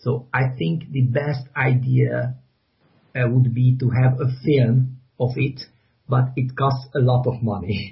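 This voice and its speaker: At a very slow pace, a man speaks in a somewhat breathy voice at medium pitch, with fairly even intonation. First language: Hungarian. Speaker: graphic novel author. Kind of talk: interview. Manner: halting, many repetitions and fillers.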